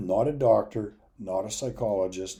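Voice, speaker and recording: A dark, mellow, somewhat breathy voice with ordinary pitch variation. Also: man. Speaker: addiction recovery educator. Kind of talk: lecture.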